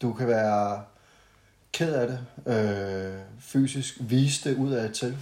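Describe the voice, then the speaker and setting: A man speaks at a very slow pace with a dark, mellow tone. His medium pitch stays fairly even. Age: 30s. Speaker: podcast guest, friend of host. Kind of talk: casual chat. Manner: halting, many fillers.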